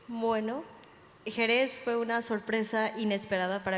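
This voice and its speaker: A woman talks at a fairly slow pace. Her intonation is monotone and flat. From Mexico. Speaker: sommelier. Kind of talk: panel talk.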